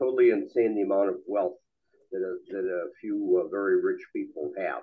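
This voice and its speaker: In a quiet setting, a man talks at a fairly quick pace. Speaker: audience member. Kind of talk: rebuttal remarks. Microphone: podium.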